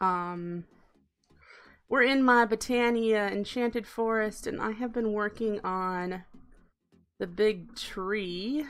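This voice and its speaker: A woman's fairly high voice, with ordinary pitch variation, comes through on a very clean recording with a silent background. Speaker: gaming livestreamer. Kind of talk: casual livestream commentary. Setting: livestream.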